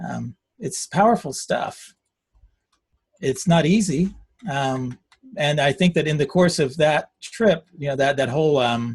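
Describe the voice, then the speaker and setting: A man speaks in a fairly high, somewhat breathy voice with ordinary pitch variation. His pace is fairly slow, with long, frequent pauses. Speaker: agile software coach and speaker. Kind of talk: interactive Q&A in a webinar. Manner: halting, stuttering while searching.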